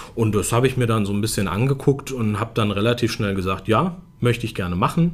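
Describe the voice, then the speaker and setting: A man speaks in an unremarkable speaking voice, fairly low in pitch, with ordinary pitch variation. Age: 30s. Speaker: automotive press spokesperson. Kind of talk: casual interview.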